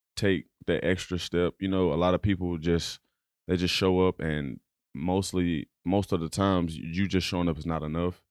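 A man with a very deep, low pitch speaks at a moderate pace with fairly even intonation. The recording is very clean, with a silent background and a dry, close sound with no echo. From Dallas, Texas. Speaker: college football player and student. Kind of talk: interview. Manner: halting.

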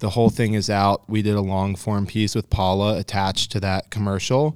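A man's normal speaking voice, fairly low in pitch, at a moderate pace in a very clean recording with a silent background. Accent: American. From out-of-state transplant to Colorado. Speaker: podcast host, fly fishing media. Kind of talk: casual interview chat.

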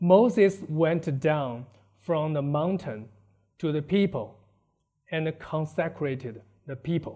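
A man with a Chinese accent speaks at a fairly high pitch in a dark, mellow tone, with ordinary pitch variation. His pace is very slow, with long, frequent pauses. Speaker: preacher. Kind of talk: sermon. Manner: halting.

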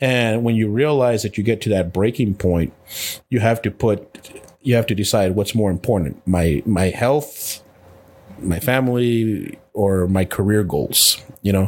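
The voice moves at a fairly slow pace and keeps its loudness very even throughout. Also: man, fairly low pitch for a man, ordinary pitch variation. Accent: American. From Texas, El Paso. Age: 40s. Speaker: retired police chief and leadership consultant. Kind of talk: interview conversation. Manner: halting, many fillers and repetitions.

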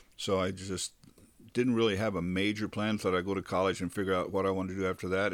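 The recording is very clean, with a silent background. A man with a fairly low pitch talks at a very fast pace with fairly even intonation. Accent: American. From California, Bakersfield. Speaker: retired church singer, host's father. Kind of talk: interview. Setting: studio.

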